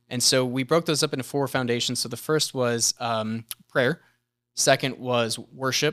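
A man of medium pitch with a normal speaking voice, a moderate pace and fairly even intonation, in a dry, close sound with no echo. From US South, Gastonia, North Carolina (from age 11; early years Buffalo, New York). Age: 30s. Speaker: church member sharing faith story. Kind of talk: casual interview chat.

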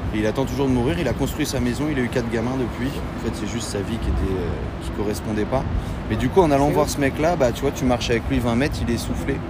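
Amid audible room echo and noticeable background noise, a man talks at a very fast pace with lively intonation. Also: medium pitch for a man. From Normandy, France. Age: 20s. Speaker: long-distance hiker. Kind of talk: casual interview.

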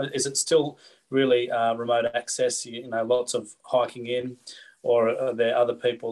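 Delivered at a moderate pace with an Australian accent, the speech stays monotone and flat while the loudness swings widely. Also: man, medium pitch for a man. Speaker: podcast host, fly fishing shop. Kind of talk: casual interview. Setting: video call.

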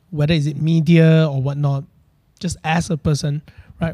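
With a Malaysian accent, a man talks at a moderate pace and a fairly high pitch. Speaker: podcast host. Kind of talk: casual chat.

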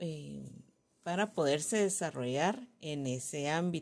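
Her pitch swinging very widely, a woman talks at a very slow pace. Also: very clean recording, silent background. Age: 40s. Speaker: educator. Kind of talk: scripted presentation. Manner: halting, with frequent fillers.

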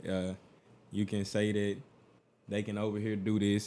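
On a very clean recording with a silent background, a man with a dark, mellow tone talks at a very fast pace. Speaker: podcast co-host. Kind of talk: casual chat.

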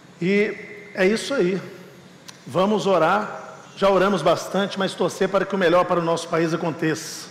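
High-pitched man with fairly even intonation and very even loudness, audible room echo and noticeable background noise. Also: moderate pace. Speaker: pastor. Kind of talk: sermon. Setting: church.

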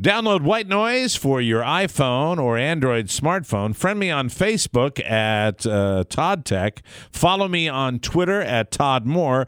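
A man speaks very slowly with hardly any pauses, his fairly high pitch swinging very widely. The recording is very clean, with a silent background. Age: 50s. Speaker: fill-in tech podcast co-host. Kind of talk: casual chat.

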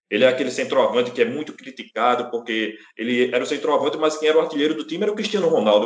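This man talks at a very fast pace, his pitch swinging very widely. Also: fairly high pitch for a man, hardly any pauses. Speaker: sports podcast co-host. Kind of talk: casual chat.

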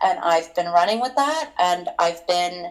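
In a Canadian accent, a woman with an ordinary speaking voice and medium pitch talks at a moderate pace. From Toronto, Canada. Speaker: escort. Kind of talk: casual interview.

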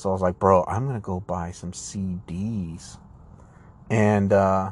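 A man speaks in an animated tone at a fairly low pitch. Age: 30s. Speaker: podcast host. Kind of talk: casual monologue. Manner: rambling, meandering; animated, profane.

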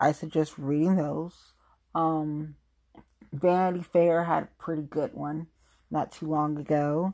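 A woman with an American accent speaks at a fairly slow pace, her pitch very deep and low and her tone dark and mellow. Her intonation is monotone and flat, with long, frequent pauses, on a very clean recording with a silent background. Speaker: podcast host. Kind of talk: solo podcast monologue. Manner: informal, emotional.

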